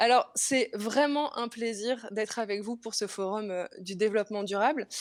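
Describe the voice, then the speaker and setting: A normal speaking voice, from a woman at fairly high pitch. She moves at a fairly slow pace with ordinary pitch variation. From Belgium. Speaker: comedian. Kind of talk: stand-up. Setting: remote video link.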